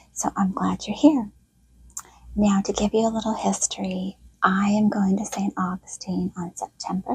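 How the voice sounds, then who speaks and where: A soft-spoken woman at a fairly slow pace, with a dry, close sound and no echo. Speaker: history storyteller. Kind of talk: relaxing quiet narration. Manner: quiet.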